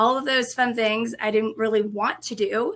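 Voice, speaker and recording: At a moderate pace, a woman with a Colorado accent speaks in a fairly high, bright, sharp voice with fairly even intonation, in a very clean recording with a silent background. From Colorado, US. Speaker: restaurant industry training executive. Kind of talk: casual interview chat.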